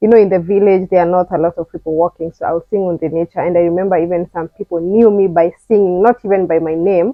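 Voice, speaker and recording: A woman speaks with a Kenyan accent. Her pace is fairly quick. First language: Kikuyu. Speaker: vlogger. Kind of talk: personal testimony. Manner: casual, halting.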